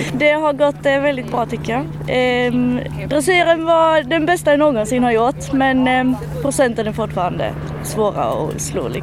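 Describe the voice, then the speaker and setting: The woman speaks at a fairly slow pace. Background noise is noticeable. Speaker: equestrian competitor. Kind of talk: interview. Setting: outdoors at an event.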